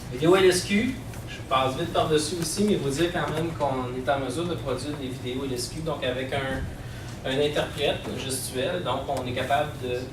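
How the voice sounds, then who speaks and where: Man's fairly high-pitched voice at a moderate pace with ordinary pitch variation, audible room echo and noticeable background noise. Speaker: accessibility services manager. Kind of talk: presentation. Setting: conference with audience. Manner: hesitant, many fillers.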